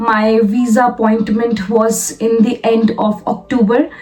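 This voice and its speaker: Over noticeable background noise, a woman with an Indian accent speaks at a fairly high pitch. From India, Lucknow, Uttar Pradesh. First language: Hindi. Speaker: vlogger, software developer. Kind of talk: personal vlog. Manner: hesitant, many fillers and repetitions.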